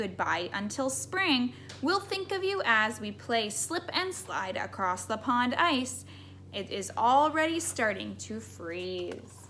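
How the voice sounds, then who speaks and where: Cackling in a put-on character voice, a woman goes at a fairly slow pace over clear background noise. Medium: read story.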